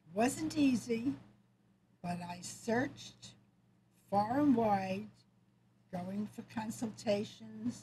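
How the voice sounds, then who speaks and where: The voice is dark, mellow and somewhat breathy, with lively intonation. It moves at a very slow pace with long, frequent pauses. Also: woman, medium pitch for a woman, big swings in loudness. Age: 80s+. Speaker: mother, grandmother and great grandmother. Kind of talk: interview answer.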